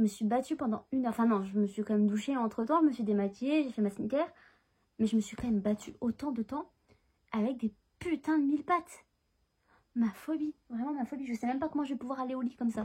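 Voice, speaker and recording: Soft-spoken and very fast, a woman with a high pitch and a dark, mellow tone uses ordinary pitch variation and takes long, frequent pauses. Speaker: book vlogger and author. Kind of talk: casual vlog. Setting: at home, in bed. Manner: soft-spoken, bird sleeping; animated, swearing, rushed.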